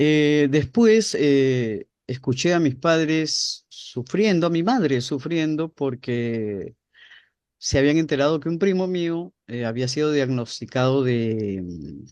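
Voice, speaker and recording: The speech moves at a very slow pace. Behind it, the background stays quiet. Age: 60s. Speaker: spiritual guest speaker. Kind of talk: interview. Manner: halting.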